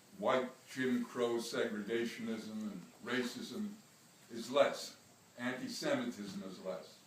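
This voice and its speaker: With an American accent and lively intonation, a man talks at a fairly slow pace with long, frequent pauses and big swings in loudness, amid noticeable background noise and audible room echo. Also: medium pitch for a man. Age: 80s+. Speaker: rabbi and civil rights activist. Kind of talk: speech to an audience. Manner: halting.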